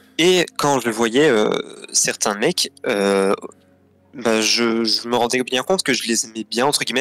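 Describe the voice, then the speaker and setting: With music in the background, a man speaks at a medium pitch in a dry, close sound with no echo. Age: 20s. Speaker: guest telling coming-out story. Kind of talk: personal testimony in interview. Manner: hesitant, many fillers.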